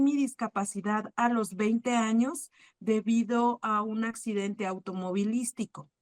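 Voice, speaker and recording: The speech moves at a fairly slow pace with fairly even intonation. Music plays in the background, and the sound is dry and close with no echo. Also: woman. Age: 30s. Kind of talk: personal testimony in a panel talk. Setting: online video talk.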